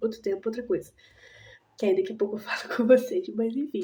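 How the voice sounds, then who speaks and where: Soft-spoken and somewhat breathy, a woman talks in a fairly high voice with a dark, mellow tone. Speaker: vlogger. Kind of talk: casual vlog chat.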